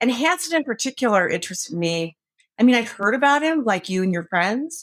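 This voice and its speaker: With an American accent, a woman talks at a fairly quick pace in a fairly high voice with very wide pitch swings. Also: very clean recording, silent background. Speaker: author and former prosecutor. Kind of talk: interview.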